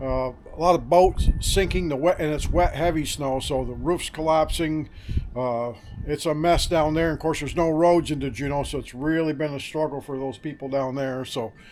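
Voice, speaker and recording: Talking at a moderate pace with fairly even intonation, a man has an unremarkable speaking voice and a fairly high pitch. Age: 60s. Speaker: wood yard owner. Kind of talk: casual chat. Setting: outdoors.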